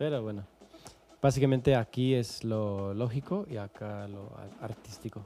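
Music plays in the background as a man with a Canadian accent talks at a fairly slow pace, his medium pitch showing ordinary variation. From Calgary, Canada. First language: English (speaking Spanish). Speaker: musician and producer. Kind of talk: casual interview. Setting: studio. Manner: formal.

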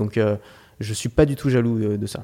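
A man speaks with ordinary pitch variation. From Paris, France. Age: 20s. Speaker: online course entrepreneur. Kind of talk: interview conversation.

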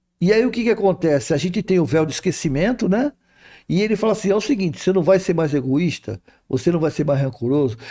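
A man with a high pitch and a dark, mellow tone talks at a very fast pace, his pitch making very wide swings while his loudness stays very even. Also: very clean recording, silent background. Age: 60s. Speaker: spiritist speaker. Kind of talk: casual spiritual talk in interview.

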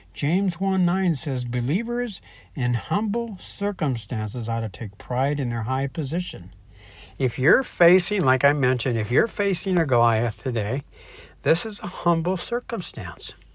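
In a fairly high pitch, a man speaks at a moderate pace with a somewhat breathy voice. His pitch swings very widely. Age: 60s. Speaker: online Bible teacher. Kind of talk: devotional teaching. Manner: casual, hesitant with fillers.

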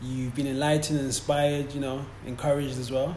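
Someone talks at a fairly quick pace, with audible room echo. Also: man. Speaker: sports podcast host. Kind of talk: interview. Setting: in London, noisy location.

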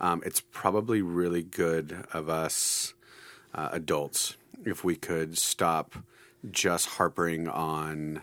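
On a very clean recording with a silent background, a man speaks in a very deep, low voice with monotone, flat intonation. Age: 40s. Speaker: high school Bible teacher. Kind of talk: casual chat. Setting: studio.

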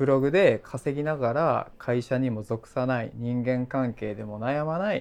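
A man's ordinary speaking voice at a medium pitch with ordinary pitch variation, a fairly slow pace and hardly any pauses. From Japan, Kochi. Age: 30s. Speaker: podcast host and blogger. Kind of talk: casual chat.

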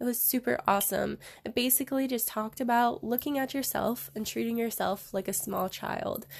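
Someone with an American accent talks at a fairly quick pace with fairly even intonation in an ordinary speaking voice. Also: woman, fairly high pitch for a woman. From US West, Reno, Nevada. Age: 20s. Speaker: yoga and hula hoop dance teacher. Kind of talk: casual chat.

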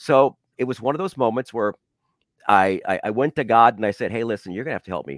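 In a very clean recording with a silent background, a man speaks at medium pitch with vocal fry. The sound is dry and close with no echo, and his pace is very fast. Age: 60s. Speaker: radio DJ. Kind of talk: interview. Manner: halting, repeats words.

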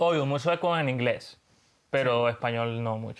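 With a slight Colombian accent, a man speaks at a medium pitch and a moderate pace, showing ordinary pitch variation. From Venezuela. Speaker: graphic designer. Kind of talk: casual chat.

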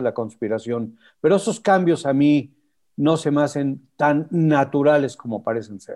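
A man with a fairly high pitch and a dark, mellow tone speaks at a fairly slow pace with lively intonation. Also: quiet background. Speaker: motorsport show host. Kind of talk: casual chat.

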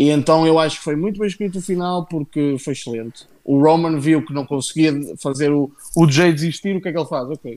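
A man with a European Portuguese accent, fairly high pitch, ordinary pitch variation and a fairly quick pace, in a very clean recording with a silent background. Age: 20s. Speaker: wrestling podcast host. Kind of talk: casual chat. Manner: animated.

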